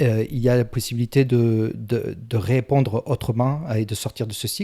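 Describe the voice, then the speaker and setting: Dry and close with no echo, a man's voice has a dark, mellow tone at a medium pitch. He speaks at a fairly slow pace with fairly even intonation. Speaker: self-help coach. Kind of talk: tutorial. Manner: halting.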